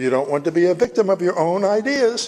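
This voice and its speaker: The pitch of a man's voice swings very widely. He speaks at a moderate pace. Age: 70s. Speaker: author. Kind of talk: reading aloud.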